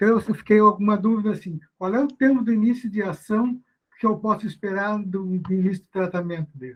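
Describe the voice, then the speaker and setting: This man's voice sits high and moves at a fairly quick pace. His pitch variation is ordinary. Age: 70s. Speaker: retired doctor, audience member. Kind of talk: audience question.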